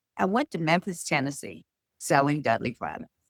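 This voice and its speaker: Moderate pace in a North Carolina accent. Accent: North Carolina Southern US. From US South. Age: 80s+. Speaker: beauty school owner. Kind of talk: interview.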